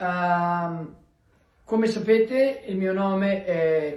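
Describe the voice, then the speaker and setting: A man's voice, high in pitch. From Veneto, Italy (Treviso area). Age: 80s+. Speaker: emigrant. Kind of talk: recorded video greeting.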